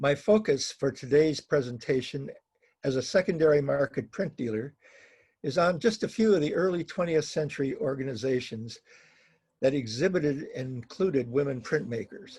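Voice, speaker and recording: Talking at a moderate pace, this man sounds somewhat breathy, and his pitch varies in an ordinary way. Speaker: print dealer. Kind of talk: slide presentation. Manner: halting, self-correcting.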